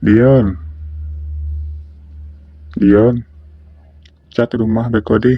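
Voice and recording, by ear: In a cartoonish character voice, a man speaks very slowly at a fairly low pitch, with fairly even intonation and a slightly husky edge.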